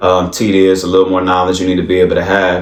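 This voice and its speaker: A man with a very deep, low pitch talks at a very fast pace amid noticeable background noise and audible room echo. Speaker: business owner and credit tips vlogger. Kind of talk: casual advice talk. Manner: animated.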